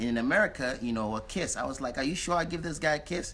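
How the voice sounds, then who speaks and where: The voice has a bright, sharp tone and very wide pitch swings. It moves at a very fast pace. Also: man. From New York City. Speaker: visitor; guest. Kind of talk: casual chat. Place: home room. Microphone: phone near.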